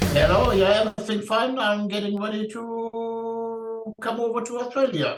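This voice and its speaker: The voice runs at a moderate pace with hardly any pauses and monotone, flat intonation, with music in the background. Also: man, extremely high pitch for a man. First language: German. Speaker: heavy metal singer. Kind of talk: interview answer.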